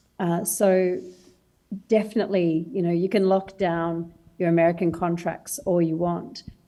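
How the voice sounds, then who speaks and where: A woman with an Australian accent, fairly low pitch and a moderate pace. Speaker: startup founder. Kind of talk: panel discussion.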